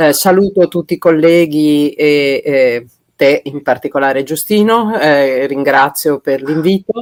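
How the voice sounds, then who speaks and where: The woman's pitch is very deep and low. The sound is dry and close, with no echo. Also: ordinary pitch variation, fairly slow pace. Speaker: forestry official. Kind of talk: conference talk. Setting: video call. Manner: halting.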